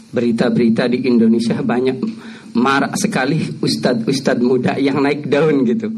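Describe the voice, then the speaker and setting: Over noticeable background noise and audible room echo, a man speaks at a fairly slow pace and medium pitch with very wide pitch swings. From Cirebon, West Java. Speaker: graduate student asking a question. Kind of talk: Q&A question at religious study session. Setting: mosque.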